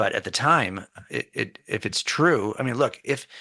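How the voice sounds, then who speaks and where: This man's voice has a bright, sharp tone and audible vocal fry. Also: quiet background. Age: 60s. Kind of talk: interview on faith radio show. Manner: repetitive false starts.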